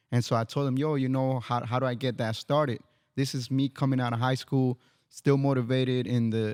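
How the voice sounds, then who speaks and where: A man with a dark, mellow, medium-pitched voice speaks at a fairly quick pace with fairly even intonation, the sound dry and close with no echo. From Miami, raised there from age five, born in Mexico. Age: 30s. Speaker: barber. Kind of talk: casual podcast interview, personal story.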